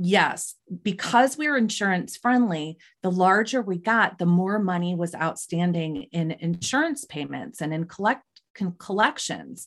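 A woman speaks at medium pitch and a fairly slow pace, with lively intonation and an unremarkable speaking voice. The background is quiet. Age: 40s. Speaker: psychotherapist and entrepreneur. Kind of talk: interview.

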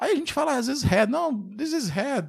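In a very clean recording with a silent background, a man speaks with a Brazilian accent at a moderate pace, his pitch swinging very widely. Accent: Brazilian accent when speaking English. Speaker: software developer and podcast host. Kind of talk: casual solo podcast monologue. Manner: conversational, many fillers.

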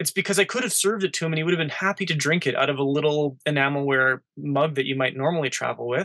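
Very fast and with hardly any pauses, a man talks with an Albertan accent. His pitch is fairly high, and his tone is bright and sharp. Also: ordinary pitch variation, dry, close sound with no echo. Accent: Canadian (Alberta). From Canada, Edmonton, Alberta. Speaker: outdoor TV show producer and hunter. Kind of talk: casual interview.

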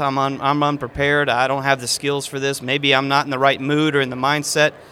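A man talks at a fairly quick pace in an American accent. Noticeable background noise is present. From Texas, Houston area. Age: 30s. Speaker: magician and illusionist. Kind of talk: interview.

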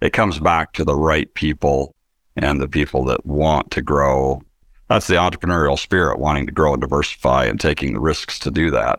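A man with an American accent, very deep and low in pitch, with vocal fry, fairly even intonation and a fairly quick pace, in a dry, close sound with no echo. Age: 50s. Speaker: business owner, manufacturing company president. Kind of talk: interview testimony.

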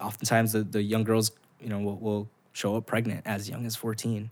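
A man's medium-pitched voice in an American accent, with monotone, flat intonation at a moderate pace. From Los Angeles, South Central / Southeast. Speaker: nonprofit founder. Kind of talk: casual chat.

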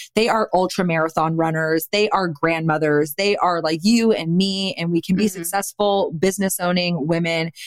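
A woman with an American accent, a plain, everyday voice, fairly low pitch, fairly even intonation, a moderate pace, very even loudness and hardly any pauses. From Austin, Texas. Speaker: cannabis company founder. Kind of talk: interview.

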